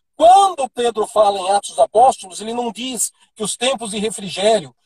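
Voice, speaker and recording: This man speaks with a high pitch. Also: dry, close sound with no echo. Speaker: apostle, preacher. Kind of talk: teaching on a live stream. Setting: Instagram live.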